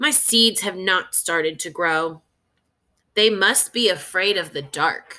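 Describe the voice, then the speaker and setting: A woman puts on a character voice, medium in pitch and fairly slow in pace. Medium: read story. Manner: impatient.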